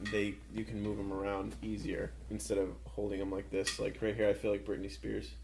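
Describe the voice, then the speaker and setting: Hardly pausing at all, a man talks at a fairly quick pace. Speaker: podcaster guest. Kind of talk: casual chat. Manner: monotone.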